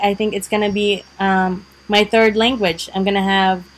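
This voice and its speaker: Speaking at a moderate pace, a woman talks with a Visayan Filipino accent. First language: Bisaya (Cebuano). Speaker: vlogger. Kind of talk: casual vlog talk. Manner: many fillers (um, uh, like).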